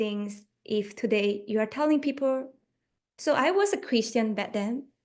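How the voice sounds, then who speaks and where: The speaker has a Chinese accent and talks at a moderate pace with ordinary pitch variation. The background is quiet. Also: woman. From Malaysia. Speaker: yoga teacher. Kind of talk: radio interview.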